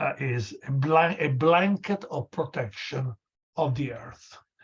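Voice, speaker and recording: A man's somewhat breathy voice, fairly high in pitch, with lively intonation at a fairly slow pace. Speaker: lecturer. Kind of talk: lecture. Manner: halting.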